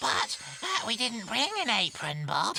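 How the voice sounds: A cartoonish character voice speaks at a fairly high pitch and a fairly slow pace. Background noise is clearly heard.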